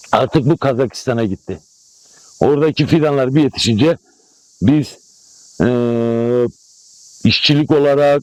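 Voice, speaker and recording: Here a man talks at a fairly slow pace. His pitch is fairly high. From Malatya, eastern Turkey. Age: 60s. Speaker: apricot farmer. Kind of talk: news interview. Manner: animated.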